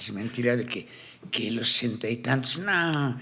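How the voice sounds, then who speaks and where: A man's medium-pitched voice with ordinary pitch variation, at a fairly slow pace. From Colombia, Cartagena. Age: 60s. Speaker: tattoo artist and ex-convict speaker. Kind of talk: interview conversation. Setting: studio. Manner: animated.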